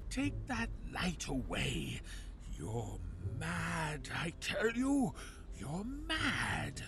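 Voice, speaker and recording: Over clear background noise, a man talks at a very slow pace with long, frequent pauses. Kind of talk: 1940s radio acting. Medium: audio drama.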